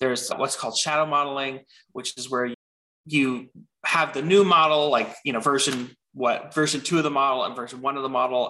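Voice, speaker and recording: Speaking at a fairly quick pace with an American accent, this voice has a bright, sharp tone and fairly even intonation. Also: man. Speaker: machine learning director. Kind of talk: interview.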